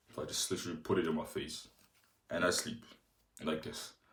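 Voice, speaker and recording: Audible room echo follows a man as he talks fairly quickly. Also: long, frequent pauses. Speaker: fitness vlogger. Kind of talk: casual vlog tutorial. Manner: halting.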